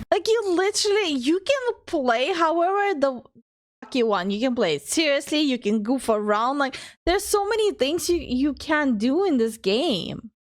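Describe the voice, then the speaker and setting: Animated in tone, a woman speaks in a high voice at a moderate pace. Her pitch swings very widely. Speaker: VTuber streamer. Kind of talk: reaction stream commentary.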